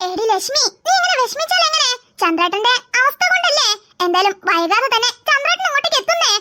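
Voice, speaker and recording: A cartoonish character voice, extremely high-pitched, at a fairly quick pace. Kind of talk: cartoon character voices.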